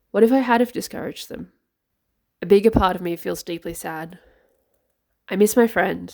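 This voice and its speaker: A woman with a medium pitch and vocal fry speaks at a moderate pace with ordinary pitch variation, long, frequent pauses, and big swings in loudness, in a very clean recording with a silent background. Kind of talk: personal letter reading, book reflection.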